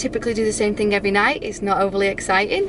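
A woman talks at a very fast pace over noticeable background noise, the sound dry with no echo. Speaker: nursing student vlogger. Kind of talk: casual vlog chat. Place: car. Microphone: phone near.

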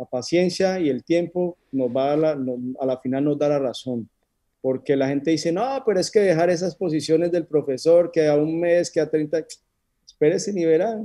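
A man's fairly high-pitched, dark and mellow voice at a moderate pace, with ordinary pitch variation, dry sound free of echo, and a quiet background. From Colombia, Neiva (Huila); Colombia. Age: 40s. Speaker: options trader; interview guest. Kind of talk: interview. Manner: halting. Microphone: video call.

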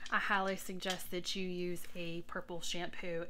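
This woman's voice has a bright, sharp tone and a monotone, flat intonation. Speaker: beauty vlogger. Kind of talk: casual vlog chat. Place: home room. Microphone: phone near.

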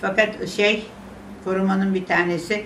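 A woman at a fairly slow pace, with audible room echo and light background noise. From Istanbul, Turkey. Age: 80s+. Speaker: interviewee recalling memories. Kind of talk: interview answer, personal memories. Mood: wistful, regretful reminiscence. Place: home room.

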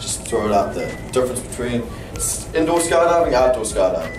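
Noticeable background noise sits under the voice. A man talks at a fairly quick pace. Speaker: skydiving instructor. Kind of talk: safety briefing. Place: classroom. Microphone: camera far.

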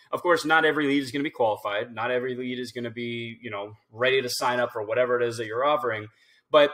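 Very fast pace and fairly even intonation against a quiet background. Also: man. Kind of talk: screen-share walkthrough commentary. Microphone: webcam.

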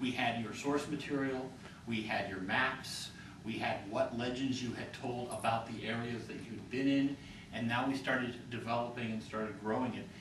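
Room echo is audible as a man speaks at a moderate pace. Background noise is noticeable. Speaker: game and fiction writer. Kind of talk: panel discussion. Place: hall. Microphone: camera far.

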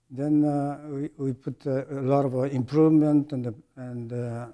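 Very slow, monotone speech in a Japanese accent, flat in intonation and dark and mellow in tone, over a quiet background. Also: man. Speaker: retired medical device engineer and executive. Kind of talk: interview. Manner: halting, many fillers. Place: studio.

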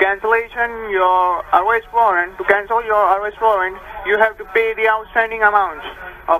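With an American accent, the speaker talks at a fairly slow pace with long, frequent pauses over light background noise. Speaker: phone caller claiming to be a tax agent. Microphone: phone line.

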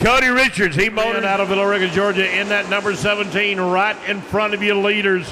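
Amid noticeable background noise, a man uses a raised, projected voice at a fairly quick pace, with very even loudness, hardly any pauses and a flat monotone. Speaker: race track announcer. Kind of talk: commentary. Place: stadium.

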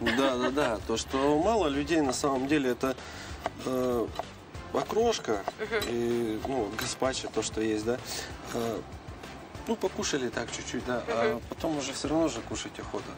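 With clear music in the background, a man speaks at a fairly slow pace with ordinary pitch variation and long, frequent pauses. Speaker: guest. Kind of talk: interview answer. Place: street.

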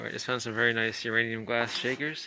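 A man speaks at a moderate pace. The sound is dry with no echo, though background noise is noticeable. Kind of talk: casual vlog commentary. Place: home room. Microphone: phone near.

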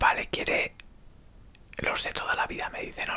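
A man whispers. His pace is fairly slow. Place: home room. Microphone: earbuds.

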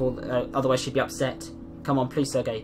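A man talks very fast in a fairly high voice. Music plays in the background. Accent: British. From Britain. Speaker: gamer. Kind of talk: casual gameplay commentary.

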